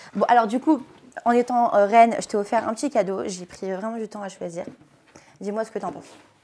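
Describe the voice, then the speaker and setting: A woman with a fairly high pitch and ordinary pitch variation, a fairly quick pace broken by long, frequent pauses, big swings in loudness, and noticeable background noise. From France, partly raised in Africa. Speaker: reality TV contestant. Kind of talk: casual interview. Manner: fast; animated.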